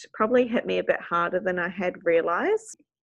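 Speaking in a New Zealand accent, a woman keeps a moderate pace, a medium pitch and fairly even intonation. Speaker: speech pathologist. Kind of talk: casual interview.

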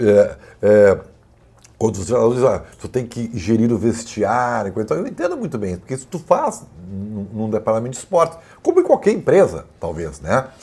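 Speaking at a moderate pace, a man uses a medium pitch and a dark, mellow, somewhat breathy tone, with lively intonation and big swings in loudness. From Rio Grande do Sul, Brazil (Santa Maria). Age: 50s. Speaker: sports journalist and commentator. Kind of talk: casual chat.

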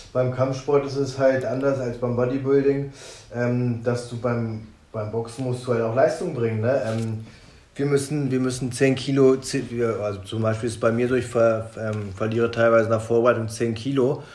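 A man speaks at a medium pitch in a flat, monotone delivery. Noticeable background noise and audible room echo surround his voice. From Germany, Braunschweig. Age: 30s. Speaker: professional boxer. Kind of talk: interview.

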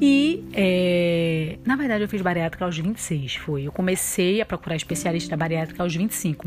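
Over noticeable background noise, a woman talks fairly slowly, her pitch varying in an ordinary way. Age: 20s. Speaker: podcast host, new mother. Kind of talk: casual monologue. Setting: at home with baby. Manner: occasional baby talk voice.

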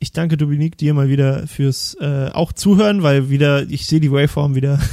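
A man with a fairly high pitch talks at a fairly quick pace. He leaves hardly any pauses. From Thuringia, eastern Germany. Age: 20s. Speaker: podcast host. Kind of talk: casual chat. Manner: talkative.

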